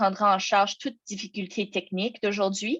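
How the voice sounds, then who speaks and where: A woman speaks with a non-native accent against a quiet background. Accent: non-native French speaker, out of practice. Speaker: program officer presenting an information session. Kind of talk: webinar presentation. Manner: halting, many hesitations and restarts.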